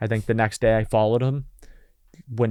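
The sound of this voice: Speaking at a fairly quick pace, a man has a fairly low pitch, vocal fry, a slightly mellow tone and fairly even intonation.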